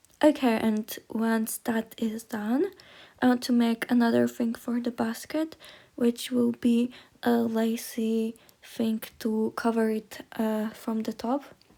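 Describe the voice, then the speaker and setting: A woman speaks very slowly with a non-native accent, her fairly high pitch carried on a dark, mellow tone with fairly even intonation. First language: not English. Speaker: miniature crafter. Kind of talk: tutorial. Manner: hesitant, many fillers.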